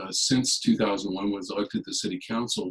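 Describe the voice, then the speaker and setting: A man talks with a Californian accent. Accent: General American (Californian). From US West, California (San Jose area). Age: 60s. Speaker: political candidate. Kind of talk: candidate forum statement. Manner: hesitant, many fillers.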